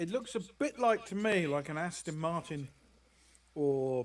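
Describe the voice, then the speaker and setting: With a British accent, a man speaks in a fairly high voice. His intonation is lively. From Britain. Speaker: game commentator. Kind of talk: casual chat.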